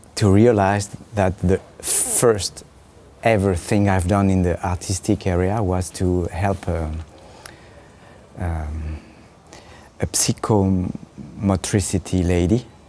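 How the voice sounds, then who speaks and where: A man with a French accent speaks in a very deep, low voice at a very slow pace. His intonation stays fairly even, broken by long, frequent pauses. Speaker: puppeteer. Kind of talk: interview. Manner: halting.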